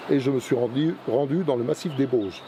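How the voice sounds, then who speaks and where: Noticeable background noise is present. A man speaks fairly quickly, his pitch varying in an ordinary way. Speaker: hiking vlogger. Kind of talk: walking vlog narration. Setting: outdoors on a forest trail. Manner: halting, repeats words.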